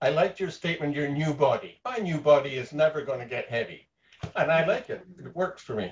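Somewhat breathy and fairly high in pitch, a man talks at a fairly quick pace. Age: 70s. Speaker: weight loss program participant. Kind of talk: casual chat. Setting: video call.

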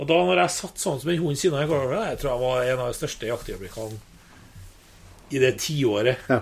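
A man speaks at a fairly quick pace with lively intonation. His voice is somewhat breathy. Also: medium pitch for a man. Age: 50s. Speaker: hunter. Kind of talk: casual interview.

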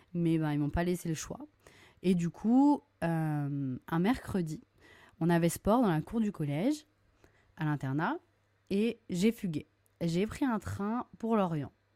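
A woman speaks in a dark, mellow tone at a fairly low pitch, very slowly and with long, frequent pauses, while her pitch swings very widely. The recording is very clean with a silent background and a dry, close sound with no echo. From Brittany, France (Lorient). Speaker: kindergarten teacher, podcast host. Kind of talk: personal storytelling monologue. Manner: casual, many hesitations.

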